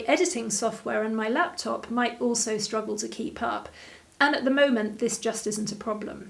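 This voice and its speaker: This woman's pitch is fairly high. It varies in an ordinary way. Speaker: online interior design teacher. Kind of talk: tutorial. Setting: home video studio. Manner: slow.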